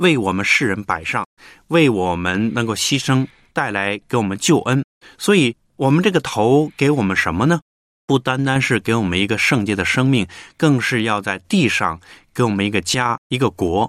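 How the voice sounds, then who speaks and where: This man has an ordinary speaking voice at a medium pitch, talking at a moderate pace with lively intonation in a dry, close sound with no echo. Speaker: radio host. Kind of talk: casual chat.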